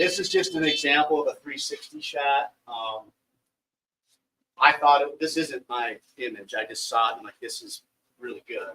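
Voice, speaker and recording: Pausing long and often, a man's voice swings widely in loudness. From northern Wisconsin, US Upper Midwest. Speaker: professional bass angler. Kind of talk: seminar presentation. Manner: fast.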